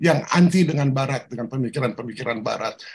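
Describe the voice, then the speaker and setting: A man speaks very fast in a fairly high, somewhat breathy voice with ordinary pitch variation. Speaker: professor. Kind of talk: interview. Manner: animated.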